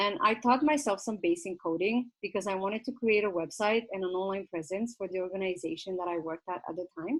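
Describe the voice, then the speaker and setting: Very fast with hardly any pauses, a woman in a Romanian accent speaks at medium pitch with lively intonation. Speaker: nonprofit founder. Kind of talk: info session presentation. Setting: virtual session.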